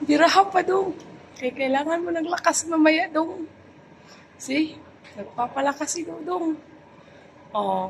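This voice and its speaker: A woman's extremely high voice with ordinary pitch variation, long, frequent pauses and noticeable background noise. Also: fairly slow pace. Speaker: vlogger. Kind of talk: casual vlog chat. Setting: condo gym. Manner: soft-spoken, lowered voice.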